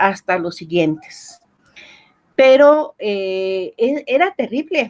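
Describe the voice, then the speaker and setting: A woman's fairly high voice with very wide pitch swings at a very slow pace, dry and close with no echo. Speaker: professor. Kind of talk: interview.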